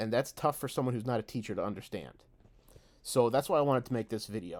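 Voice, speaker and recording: The recording is very clean, with a silent background. A man talks at a very fast pace at a medium pitch, with ordinary pitch variation. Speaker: teacher and video creator. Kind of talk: unscripted video monologue. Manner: frequent filler words and vocal pauses; conversational, unscripted.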